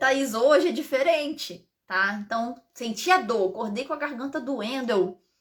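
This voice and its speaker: At a fairly slow pace yet with hardly any pauses, a woman talks in a high pitch with lively intonation. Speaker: integrative therapist. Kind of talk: live stream talk. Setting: live stream.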